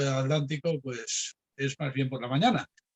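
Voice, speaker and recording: A man with a fairly high voice, moderate speed and fairly even intonation. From Spain. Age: 60s. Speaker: philosophy professor. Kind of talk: lecture. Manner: hesitant with fillers.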